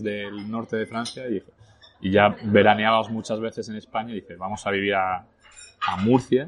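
A man's fairly low voice at a fairly slow pace, flat and monotone throughout. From northern France, later Spain. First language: French (speaking Spanish). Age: 30s. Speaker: entrepreneur. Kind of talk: casual interview over lunch. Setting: restaurant.

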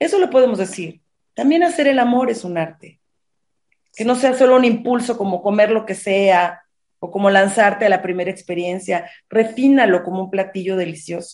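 At a moderate pace, a woman speaks at a medium pitch with ordinary pitch variation, an ordinary speaking voice. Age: 50s. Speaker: sexologist. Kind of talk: interview.

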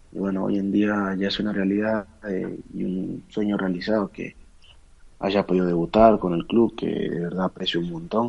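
The delivery has fairly even intonation and moves at a moderate pace. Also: man, fairly low pitch for a man. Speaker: professional footballer. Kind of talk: interview.

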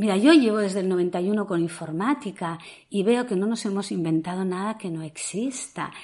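Here a woman talks at a moderate pace in a medium pitch. Her tone is dark and mellow. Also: ordinary pitch variation. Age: 60s. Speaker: psychotherapist. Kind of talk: talk on Clubhouse audio room. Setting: Clubhouse audio room. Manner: energetic.

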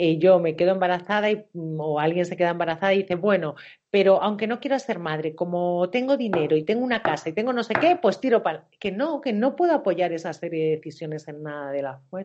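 With hardly any pauses, a woman talks in an ordinary speaking voice at a fairly quick pace, her intonation lively. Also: fairly low pitch for a woman. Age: 40s. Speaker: coach and therapist. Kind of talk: interview.

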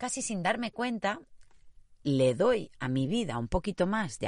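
A woman talks at a fairly slow pace with a warm tone and a medium pitch. Her pitch swings very widely, there is vocal fry, and the background is quiet. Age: 50s. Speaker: podcast host and personal coach. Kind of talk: motivational monologue. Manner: hesitant.

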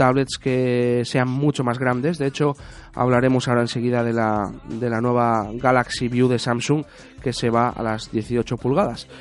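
A man with an unremarkable speaking voice, medium pitch, fairly even intonation and a fairly slow pace. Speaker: radio host. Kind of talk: casual chat.

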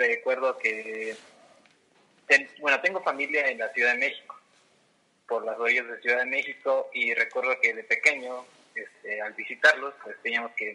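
A man speaks at a fairly slow pace. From Mexico, Toluca. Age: 20s. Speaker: urban development professional. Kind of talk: interview.

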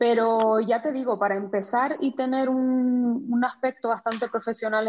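Someone speaks fairly slowly in a Canary Islands accent. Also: woman. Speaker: professional photographer. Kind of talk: casual interview.

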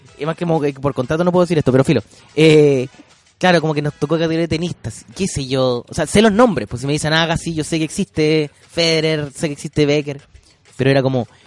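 Speaking at a very fast pace, a man with a Chilean accent has a fairly high pitch and ordinary pitch variation, recorded dry and close with no echo. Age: young. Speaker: podcast host and comedian. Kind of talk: casual chat. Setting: studio. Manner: halting.

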